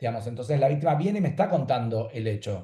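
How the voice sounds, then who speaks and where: Somewhat breathy and dark, mellow in tone, a man's voice races along at a very fast pace. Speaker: law professor. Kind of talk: panel talk. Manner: clear.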